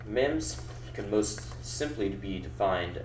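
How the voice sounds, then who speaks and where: Amid noticeable background noise and audible room echo, a man speaks at a very deep, low pitch with very wide pitch swings. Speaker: college student. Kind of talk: practice class presentation.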